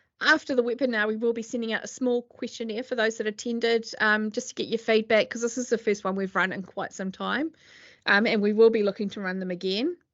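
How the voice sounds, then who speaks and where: A woman with a New Zealand accent talks at a very fast pace, her fairly high pitch held to fairly even intonation. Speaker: accountant. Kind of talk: webinar presentation. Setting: video call. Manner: hesitant, many fillers.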